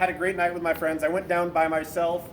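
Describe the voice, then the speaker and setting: Over noticeable background noise, a man in an American accent speaks at a very fast pace. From Boston area, New England. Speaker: navy corpsman sharing suicide survival story. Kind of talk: personal testimony talk. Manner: conversational, with filler words.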